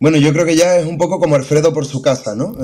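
A man in an Andalusian accent at a very fast pace, with fairly even intonation. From Seville, Andalusia. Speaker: singer-songwriter; remote guest. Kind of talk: interview. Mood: warm, friendly. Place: home room. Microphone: video call.

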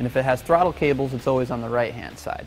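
A man talks at a fairly quick pace with fairly even intonation. Faint music plays in the background. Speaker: presenter. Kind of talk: tutorial. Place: workshop.

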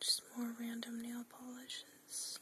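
A soft-spoken voice whispers at a very slow pace. Light background noise is audible. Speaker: nail polish collection vlogger. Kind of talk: casual vlog chat. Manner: soft whispered show-and-tell. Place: home room.

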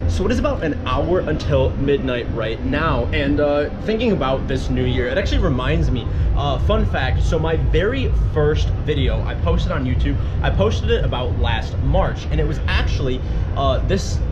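A man at a moderate pace, music in the background. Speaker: travel vlogger. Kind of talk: casual vlog chat. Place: boat. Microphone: phone near.

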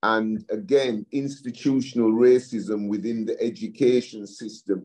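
A man's dark, mellow tone with a Yorkshire accent, ordinary pitch variation and a quiet background. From West Yorkshire, England. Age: 60s. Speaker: community leader and project director. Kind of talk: presentation; talk presentation and discussion. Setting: video call. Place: home room. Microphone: video call.

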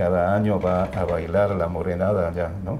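The voice has a dark, mellow tone and moves at a fairly slow pace, with light background noise behind it. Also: man. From Bolivia, La Paz. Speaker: immigrant. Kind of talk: interview. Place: home room. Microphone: lapel.

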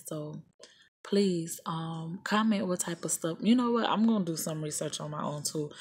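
A woman with a Southern US accent speaks in a fairly low, somewhat breathy voice against a quiet background. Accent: southern drawl. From US South. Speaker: YouTuber. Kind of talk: casual tutorial vlog. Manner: casual, hesitant with fillers. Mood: casual, a bit scattered. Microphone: phone near.

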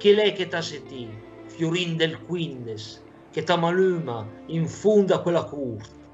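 Faint music plays in the background as a man speaks at a very slow pace with a fairly high pitch and lively intonation. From Lombardy. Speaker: dialect poet. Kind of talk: poetry reading in Lombard dialect. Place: home room. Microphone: webcam.

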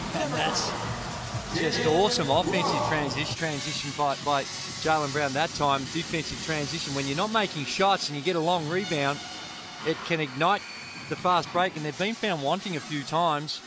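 Through noticeable background noise, a man speaks in an animated, excited tone at a fairly high pitch with ordinary pitch variation. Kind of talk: live sports commentary. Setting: broadcast commentary of a basketball game. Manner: animated, fast play-by-play delivery with excited exclamations; analytical co-commentator giving tactical explanations.

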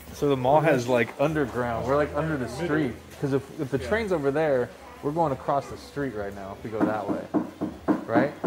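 Through loud background noise, a man talks at a fairly quick pace. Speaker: travel vlogger. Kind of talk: casual vlog chat. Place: shop. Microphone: phone near.

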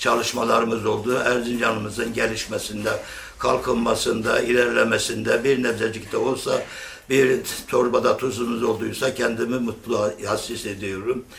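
A man talks at a moderate pace in a medium pitch. His intonation is fairly even, and background noise is noticeable. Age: 70s. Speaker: lathe craftsman and former local politician. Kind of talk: interview answer.

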